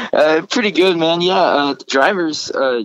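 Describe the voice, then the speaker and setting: A man with an American accent talks at a fairly quick pace with lively intonation. The sound is dry and close, with no echo. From Texas. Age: 20s. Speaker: country musician. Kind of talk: interview. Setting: on tour.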